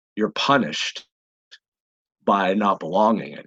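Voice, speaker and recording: The voice has an American accent, a bright, sharp tone and ordinary pitch variation at a moderate pace. The sound is dry and close, with no echo. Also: man. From Pennsylvania, US. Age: 40s. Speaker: personal development coach. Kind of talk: podcast interview. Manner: halting, many repetitions.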